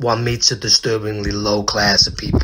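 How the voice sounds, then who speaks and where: Moderately paced male character voice, put-on and fairly low-pitched. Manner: theatrically dignified, preening.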